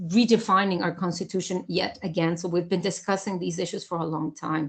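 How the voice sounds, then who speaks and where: The voice is somewhat breathy, moving at a fairly quick pace with fairly even intonation. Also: woman, medium pitch for a woman. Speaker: professor. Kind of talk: lecture. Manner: halting, many fillers.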